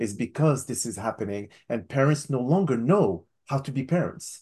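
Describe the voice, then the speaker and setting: A man speaks at medium pitch and a moderate pace in an unremarkable speaking voice, against a quiet background. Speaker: psychotherapist and podcast host. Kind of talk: interview. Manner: formal scripted intro and outro.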